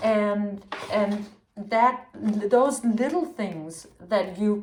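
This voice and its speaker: Audible room echo surrounds a very slow delivery in a Danish accent. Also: woman. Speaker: tarot reader. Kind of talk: tarot reading. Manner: halting.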